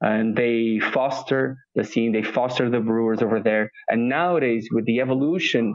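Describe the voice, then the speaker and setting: A medium-pitched male voice with fairly even intonation at a fairly slow pace. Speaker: food tour founder. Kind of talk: interview. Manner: hesitant, filler-heavy.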